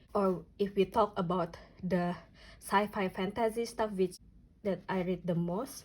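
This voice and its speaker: A woman's somewhat breathy, medium-pitched voice in an Indonesian accent at a fairly slow pace. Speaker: notebook and reading vlogger. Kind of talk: casual flip-through vlog. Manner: halting, many fillers.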